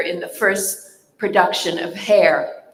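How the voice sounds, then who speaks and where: A woman's medium-pitched voice comes through with audible room echo. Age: 70s. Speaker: stage actor. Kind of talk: panel talk.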